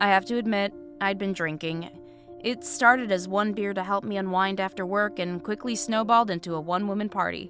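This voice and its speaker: Music plays in the background as a woman speaks at medium pitch. Her pace is fairly quick and her intonation fairly even. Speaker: story narrator. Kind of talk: horror story narration.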